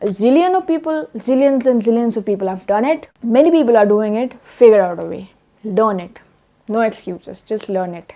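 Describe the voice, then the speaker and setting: Intonation here is lively. Delivery moves at a fairly quick pace. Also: woman. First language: not English. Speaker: self-help vlogger. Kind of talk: vlog monologue. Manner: hesitant with fillers.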